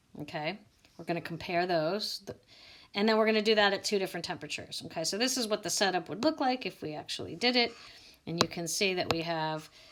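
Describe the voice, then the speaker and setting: A woman speaks at a very fast pace. Her intonation is lively. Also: medium pitch for a woman. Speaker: biology teacher. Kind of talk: recorded lecture. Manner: casual.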